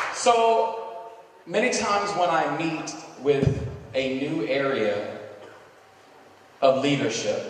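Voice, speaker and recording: Loud and very slow, a man with an American accent speaks with very wide pitch swings and long, frequent pauses, with audible room echo and noticeable background noise. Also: fairly high pitch for a man. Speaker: motivational speaker. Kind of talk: motivational speech. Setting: stage with audience and interpreter. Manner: short phrases with pauses for interpreter.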